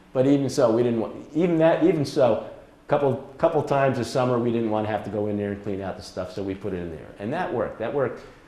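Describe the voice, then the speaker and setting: Audible room echo surrounds a man whose voice has a dark, mellow tone. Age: 70s. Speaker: retired presenter and wildlife volunteer. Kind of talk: presentation. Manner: halting.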